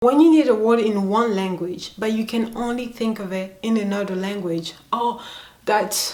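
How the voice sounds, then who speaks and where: A woman speaks at a moderate pace, with audible room echo. Noticeable background noise is present too. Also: ordinary pitch variation. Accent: African. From Democratic Republic of the Congo. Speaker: YouTuber. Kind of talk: vlog.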